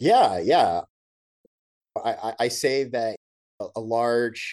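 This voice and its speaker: The speaker is a man. His accent is American. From North Texas, US. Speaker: journalist. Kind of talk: interview. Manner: halting, with frequent repeated words.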